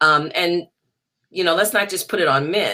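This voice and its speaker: A woman with a New Orleans accent and a bright, sharp tone. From US South, New Orleans. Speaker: jazz singer. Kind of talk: interview.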